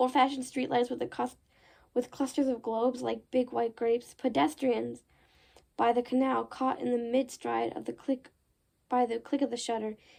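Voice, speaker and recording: A woman uses a put-on character voice that is raspy and high-pitched. She keeps a moderate pace and fairly even intonation on a very clean recording with a silent background. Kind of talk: horror novel read aloud. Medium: read story. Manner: casual, chatty asides.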